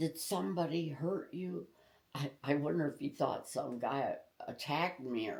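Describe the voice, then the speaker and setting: A woman with a very deep, low voice speaks at a moderate pace, her lively intonation edged with vocal fry. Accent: Midwestern American. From Tecumseh, Michigan. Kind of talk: interview answer.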